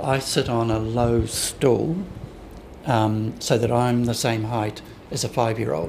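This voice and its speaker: Noticeable background noise underlies a man's medium-pitched speech. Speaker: window display designer. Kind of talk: interview.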